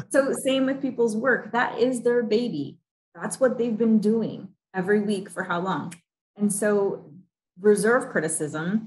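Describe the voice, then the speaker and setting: Speaking fairly slowly with an American accent, a woman has a fairly high pitch, ordinary pitch variation and a somewhat breathy quality. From US Midwest. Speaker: executive coach. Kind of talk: interview. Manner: animated.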